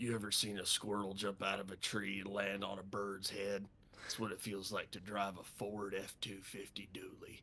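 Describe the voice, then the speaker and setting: Using a raspy, put-on character voice, a man talks at a moderate pace and fairly low pitch with monotone, flat intonation. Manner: salesy, exaggerated ad read.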